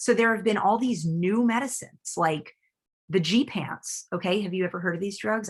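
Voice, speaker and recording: In a somewhat breathy voice of medium pitch, a woman sounds animated, with ordinary pitch variation. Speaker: neurologist. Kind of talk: lecture. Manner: fast.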